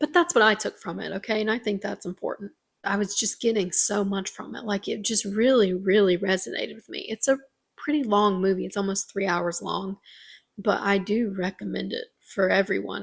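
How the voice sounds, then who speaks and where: At a fairly quick pace, a woman speaks with vocal fry and medium pitch with ordinary variation. Her loudness swings a lot. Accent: Southern US. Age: 20s. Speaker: vlogger. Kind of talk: casual vlog monologue. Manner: halting.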